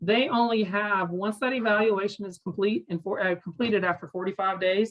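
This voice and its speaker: A woman speaks at a fairly quick pace in a medium pitch with ordinary pitch variation. Hers is an unremarkable speaking voice. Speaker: parent advocacy coordinator, former educator. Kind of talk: webinar presentation.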